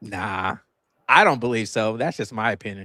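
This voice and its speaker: A man speaks at medium pitch and a moderate pace, his tone bright and sharp. The recording is very clean, with a silent background. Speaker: podcast co-host. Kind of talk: casual chat. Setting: livestream. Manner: halting.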